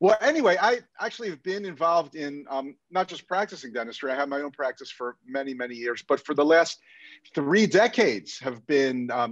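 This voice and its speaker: A man with a normal speaking voice and fairly high pitch talks at a fairly quick pace, his intonation lively and his loudness swinging widely against a quiet background. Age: 60s. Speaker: dentist and dental consultant. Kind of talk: casual chat.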